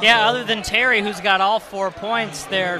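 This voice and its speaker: Against noticeable background noise, the voice moves at a moderate pace with fairly even intonation. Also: man. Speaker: color analyst on radio broadcast. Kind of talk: live sports commentary, analysis. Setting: gym, radio broadcast. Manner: conversational, relaxed.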